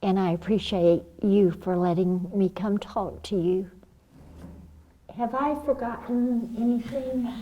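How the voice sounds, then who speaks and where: Speaking at a fairly slow pace with a medium pitch and ordinary pitch variation, a woman leaves long, frequent pauses. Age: 60s. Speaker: brain injury survivor and patient advocate. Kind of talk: public talk to an audience. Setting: room with audience. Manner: animated.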